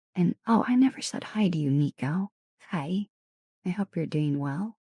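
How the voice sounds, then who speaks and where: With a dark, mellow tone and a somewhat breathy voice, a woman speaks at a moderate pace and fairly low pitch, her intonation lively, in a dry, close sound with no echo. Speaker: ASMR streamer. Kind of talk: live stream chat with viewers. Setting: home streaming room.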